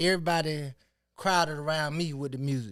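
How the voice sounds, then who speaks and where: This man has an unremarkable speaking voice, fairly high in pitch, with an American accent and fairly even intonation. He talks at a fairly quick pace in a very clean recording with a silent background. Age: 30s. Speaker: rapper and record label owner. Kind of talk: casual interview chat.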